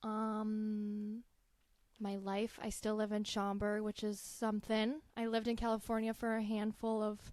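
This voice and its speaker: Her loudness stays very even as a woman speaks at a fairly slow pace. Her intonation is monotone and flat. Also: fairly high pitch for a woman. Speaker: marketing manager. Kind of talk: casual chat.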